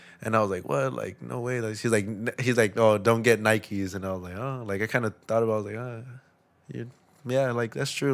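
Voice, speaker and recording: A man with an American accent has an unremarkable speaking voice, fairly low in pitch, with ordinary pitch variation and a moderate pace. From US West Coast, East Los Angeles. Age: 20s. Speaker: skateboarder. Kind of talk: casual chat.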